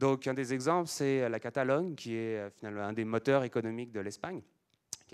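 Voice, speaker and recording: A man speaks with ordinary pitch variation. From France. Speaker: conference speaker on languages. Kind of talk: lecture. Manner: halting, many fillers and repetitions.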